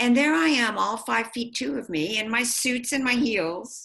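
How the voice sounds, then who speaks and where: In a bright, sharp tone, a woman speaks fairly slowly with lively intonation. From US, immigrant family. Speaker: policy advocate and author. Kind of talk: interview. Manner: soft-spoken.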